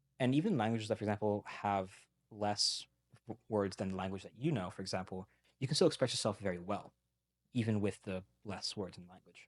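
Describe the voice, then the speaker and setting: A man talks at a fairly quick pace in a fairly low pitch with ordinary pitch variation. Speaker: language learner, multilingual podcast guest. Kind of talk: interview conversation. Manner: fast; animated.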